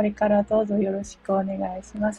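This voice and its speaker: The recording has a dry, close sound without any echo. A woman delivers her words at a fairly quick pace. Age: 40s. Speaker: blogger and podcaster. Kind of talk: solo self-introduction monologue. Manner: casual, filler-heavy.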